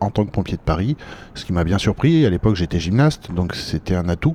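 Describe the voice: A man's dark, mellow tone with lively intonation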